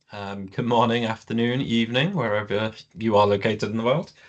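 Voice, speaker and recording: Here a man speaks with a British accent at medium pitch. The background is quiet. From UK. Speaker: project management director. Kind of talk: webinar presentation. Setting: online webinar. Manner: hesitant, many fillers.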